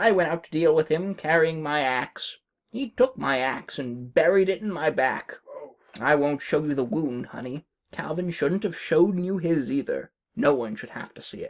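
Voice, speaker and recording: Putting on a character voice, a man talks at a moderate pace with a fairly high pitch. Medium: read story. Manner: soothing, motherly.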